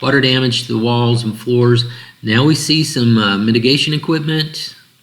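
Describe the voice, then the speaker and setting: A man talks at a moderate pace with a medium pitch. There is audible room echo and noticeable background noise. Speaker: insurance claims trainer. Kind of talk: training tutorial. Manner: hesitant, many fillers.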